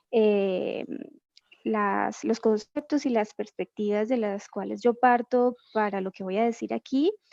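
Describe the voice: Delivered at a fairly slow pace, the voice has vocal fry, a slightly mellow tone and fairly even intonation, in a dry, close sound with no echo. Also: woman, medium pitch for a woman.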